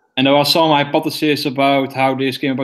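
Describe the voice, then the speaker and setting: A man with a Dutch accent speaks at a medium pitch in a flat monotone. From Netherlands. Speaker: guest in science chat. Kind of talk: informal science chat. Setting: video call.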